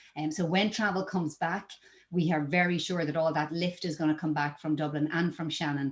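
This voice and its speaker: The speaker talks at a fairly quick pace with an Irish accent. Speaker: travel company presenter. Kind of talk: webinar presentation. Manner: filler-heavy with frequent 'um'.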